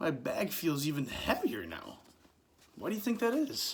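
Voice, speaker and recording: Fairly high pitch and a moderate pace in a put-on character voice. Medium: read story.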